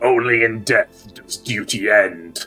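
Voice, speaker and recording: In a put-on character voice, a man booms at medium pitch and a fairly slow pace while faint music plays behind him. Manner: solemn, grave.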